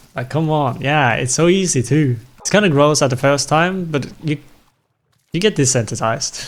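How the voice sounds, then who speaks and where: A man with a non-native accent talks at a fairly quick pace. His pitch is fairly high, with ordinary variation. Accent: non-native English accent, self-noticed. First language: not English. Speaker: streamer playing video games. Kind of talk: casual live-stream chat. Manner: casual, rambling with self-corrections.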